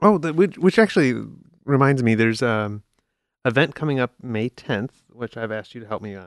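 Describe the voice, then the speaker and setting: Heard against a quiet background with a dry, close sound and no echo, an ordinary speaking voice moves at a moderate pace with lively intonation. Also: man, medium pitch for a man. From Chicago, US Midwest. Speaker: podcast host. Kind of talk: casual chat. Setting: studio.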